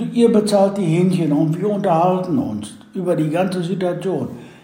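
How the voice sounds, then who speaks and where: Amid noticeable background noise and audible room echo, a high-pitched man with a strong Westphalian accent speaks fairly slowly with ordinary pitch variation. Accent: broad Westphalian. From Westphalia, Germany. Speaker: reconciliation volunteer, son of expellee. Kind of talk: interview.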